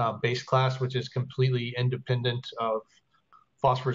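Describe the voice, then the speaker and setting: There's a somewhat breathy quality to this man's medium-pitched voice. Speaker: software developer. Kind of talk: team meeting report. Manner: fast.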